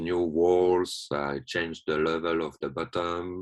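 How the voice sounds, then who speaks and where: A man speaks in a very deep, low voice. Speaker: watsu therapist. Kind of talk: presentation. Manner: halting.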